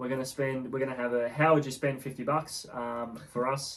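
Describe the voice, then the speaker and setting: Noticeable background noise sits behind a man with an Australian accent. His medium-pitched voice keeps a moderate pace and a monotone, flat intonation. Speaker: horse racing tipster podcast co-host. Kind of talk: casual chat. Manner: hesitant, lots of fillers.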